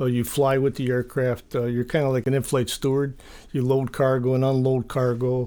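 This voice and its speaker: A man speaks at a moderate pace and medium pitch in a dark, mellow tone, his intonation monotone and flat and his loudness very even, on a very clean recording with a silent background. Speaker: Vietnam veteran. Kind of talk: casual interview. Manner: halting.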